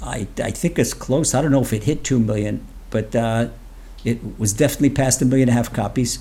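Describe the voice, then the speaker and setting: With an American accent, a man speaks at medium pitch in a dark, mellow tone. Vocal fry runs through his fairly even intonation. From US East Coast (Washington, D.C.). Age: 70s. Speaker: rabbi and Torah teacher. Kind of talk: interview conversation. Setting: remote call from Israel.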